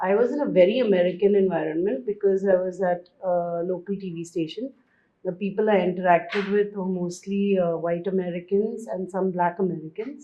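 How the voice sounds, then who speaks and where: Speaking fairly quickly in a Bombay accent, a woman keeps her intonation fairly even. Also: medium pitch for a woman. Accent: Western suburbs Bombay. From India, Mumbai western suburbs. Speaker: guest, former journalist. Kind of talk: interview conversation.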